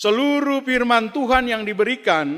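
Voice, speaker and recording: With an Ambonese accent, a man speaks at a very slow pace. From Ambon, eastern Indonesia. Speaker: pastor and theology lecturer. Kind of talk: sermon.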